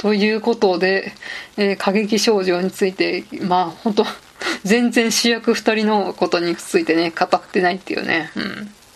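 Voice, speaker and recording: A woman talks at a moderate pace with a medium pitch and ordinary pitch variation. Noticeable background noise runs under her voice. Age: 30s. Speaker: podcast host, office worker. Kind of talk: casual solo monologue. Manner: casual, frequent fillers.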